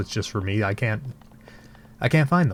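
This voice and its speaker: With music in the background, a man's speech moves at a fairly quick pace. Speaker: let's play gamer. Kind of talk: casual gameplay commentary. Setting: home, late night.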